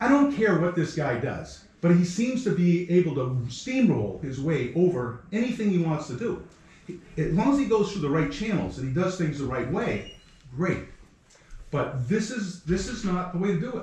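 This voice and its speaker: In a room with audible echo and noticeable background noise, a man speaks loud and animated, his high pitch swinging very widely. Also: moderate pace. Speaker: resident speaking at public comment. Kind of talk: heated public comment at town meeting. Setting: town board meeting.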